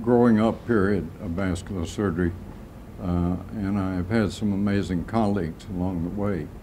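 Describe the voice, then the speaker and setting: With audible room echo, a man speaks at a moderate pace in a very deep, low voice with a dark, mellow tone and fairly even intonation. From US South, Atlanta, Georgia. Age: 80s+. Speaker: retired vascular surgeon. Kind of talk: oral history interview. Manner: halting, many fillers.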